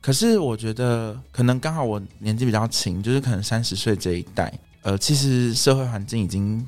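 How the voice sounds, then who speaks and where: In an ordinary speaking voice, a man talks at a moderate pace and medium pitch, with ordinary pitch variation. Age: 30s. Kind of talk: casual chat.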